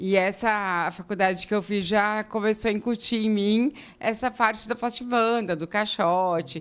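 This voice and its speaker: In a very clean recording with a silent background, a woman with a southern Brazilian accent speaks at a moderate pace, fairly high in pitch and with fairly even intonation. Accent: gaúcho. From southern Brazil, Rio Grande do Sul highlands. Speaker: architect. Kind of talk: interview. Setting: studio.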